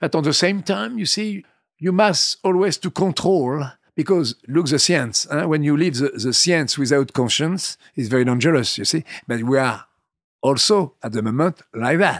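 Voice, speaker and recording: In a dry, close sound with no echo, a man talks with an animated tone and fairly high pitch. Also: moderate pace, very clean recording, silent background. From France, Vendée. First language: French. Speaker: winemaker. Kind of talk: interview. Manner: animated, digressive.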